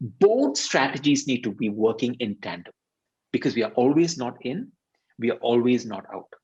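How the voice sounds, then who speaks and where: Here is a man with a Tamil accent and a medium pitch. He keeps a moderate pace and ordinary pitch variation. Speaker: leadership consultant and workshop facilitator. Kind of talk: interview explanation on video webinar.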